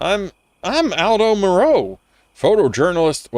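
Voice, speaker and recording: Using a put-on character voice, a man speaks at a moderate pace with a high pitch and very wide pitch swings. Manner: hesitant, stammering.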